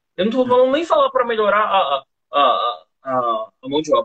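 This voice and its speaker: With no echo at all, the man sounds dry and close. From São Paulo, Brazil. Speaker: bar owner. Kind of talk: casual interview. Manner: halting.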